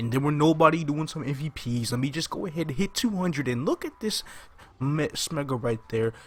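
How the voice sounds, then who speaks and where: Somewhat breathy tone from a man, pitched fairly high. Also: ordinary pitch variation, fairly quick pace. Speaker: gaming YouTuber. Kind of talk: gameplay commentary. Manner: quiet, subdued; casual, hesitant with fillers.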